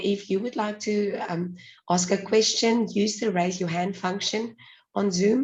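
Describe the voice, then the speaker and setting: A woman speaks fairly slowly at a medium pitch. Her voice is somewhat breathy, with fairly even intonation. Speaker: webinar host. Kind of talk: webinar moderation. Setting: video call.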